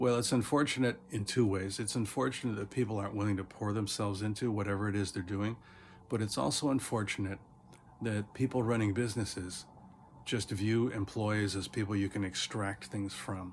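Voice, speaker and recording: This man has a fairly low, somewhat breathy voice and talks at a fairly quick pace with fairly even intonation. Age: 60s. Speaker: teacher. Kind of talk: casual motivational talk.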